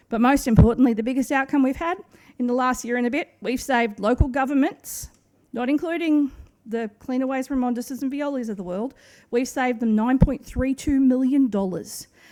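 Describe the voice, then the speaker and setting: With an Australian accent, a woman speaks in a high-pitched voice that has a dark, mellow tone. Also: ordinary pitch variation, fairly quick pace, very clean recording, silent background. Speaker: waste management consultant. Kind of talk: conference presentation. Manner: fast.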